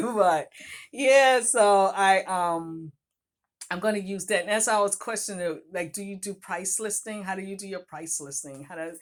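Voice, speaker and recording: With a strong Boston accent, a woman talks at a moderate pace in a very clean recording with a silent background. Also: medium pitch for a woman, ordinary pitch variation. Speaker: author and vlogger. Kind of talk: casual vlog talk to viewers. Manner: conversational, halting with fillers.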